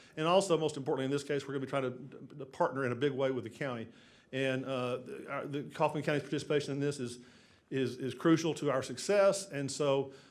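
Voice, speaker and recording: There is audible room echo as a man speaks very fast. His pitch is fairly high and his intonation fairly even. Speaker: city development consultant. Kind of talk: council meeting presentation. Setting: city council chamber. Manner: halting, many repetitions.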